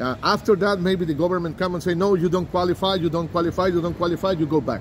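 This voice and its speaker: With a high pitch and fairly even intonation, a man talks at a very fast pace. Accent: Spanish. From Costa Rica. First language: Spanish. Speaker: immigrant lawyer. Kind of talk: street interview. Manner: halting.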